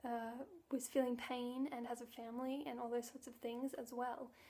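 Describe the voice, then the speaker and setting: A soft-spoken woman's voice, high in pitch, with a dark, mellow tone. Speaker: vegan vlogger. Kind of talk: casual talk to camera.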